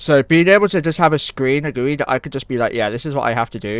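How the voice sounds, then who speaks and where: A man's medium-pitched voice, very fast and lively in intonation. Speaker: video game streamer. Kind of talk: live gameplay stream chat.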